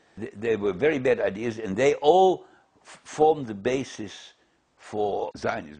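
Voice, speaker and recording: With a German accent and a dark, mellow tone, a man at medium pitch speaks at a fairly slow pace, his intonation lively and his loudness swinging widely. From Germany. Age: 80s+. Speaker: Holocaust survivor. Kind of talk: interview testimony. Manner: halting, many repetitions.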